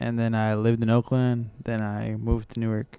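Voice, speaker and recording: In a Californian accent, a man speaks at a medium pitch with a dark, mellow tone. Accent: Californian American English. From San Francisco Bay Area, California. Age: 20s. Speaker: musician. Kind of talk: interview. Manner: casual.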